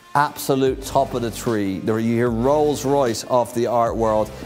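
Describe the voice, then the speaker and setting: Upbeat and energetic, a man speaks at a moderate pace. His pitch varies in an ordinary way, with faint music in the background. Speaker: fine art TV host and auctioneer. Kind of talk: TV auction host presentation. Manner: upbeat, energetic, showman-like. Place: studio. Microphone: lapel.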